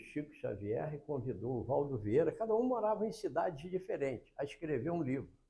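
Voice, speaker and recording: Dark and mellow in tone with vocal fry, a man at a fairly high pitch speaks at a moderate pace with very wide pitch swings. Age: 80s+. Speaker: spiritist lecturer. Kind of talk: religious lecture.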